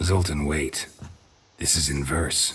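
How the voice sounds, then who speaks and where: A man puts on a raspy character voice pitched very deep and low. His delivery is deadpan. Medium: video game. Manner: terse, low, deadpan.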